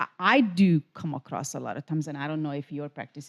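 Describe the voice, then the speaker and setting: Recorded dry and close with no echo, a woman with a Hungarian accent speaks at a moderate pace in a very deep, low voice. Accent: Hungarian accent, noticeable. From Hungary. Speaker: spa owner and podcast co-host. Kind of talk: casual chat. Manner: hesitant, repeating words.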